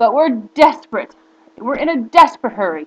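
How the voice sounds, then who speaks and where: A woman does a put-on character voice pitched high. Her pace is moderate. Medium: read story. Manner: lively, brogue-flavored.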